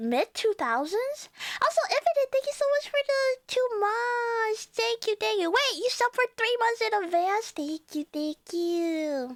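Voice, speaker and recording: Talking at a fairly slow pace with hardly any pauses, a woman with a Cantonese accent uses an extremely high pitch and very wide pitch swings, in a dry, close sound with no echo. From Chinese background. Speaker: VTuber streamer. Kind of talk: casual chat. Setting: live stream. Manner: animated.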